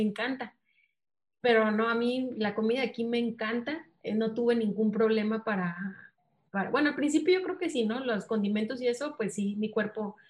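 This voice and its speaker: A woman talks in a somewhat breathy voice that sits fairly high in pitch. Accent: Sinaloan. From Mexico, Mazatlán, Sinaloa. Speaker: missionary. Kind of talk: interview.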